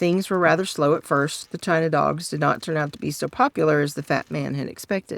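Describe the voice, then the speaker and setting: A soft-spoken woman talks at a fairly quick pace. Her pitch is very deep and low. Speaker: storyteller. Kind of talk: reading aloud.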